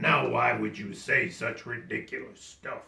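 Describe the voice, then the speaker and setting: A man puts on a growling character voice at a moderate pace. It comes out gruff and raspy. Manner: growling, scornful.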